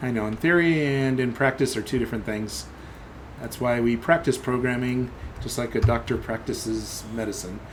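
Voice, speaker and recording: Mumbling at a moderate pace, a man speaks at a medium pitch with ordinary pitch variation. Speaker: software developer live streamer. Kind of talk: live coding stream commentary. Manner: thinking aloud, halting.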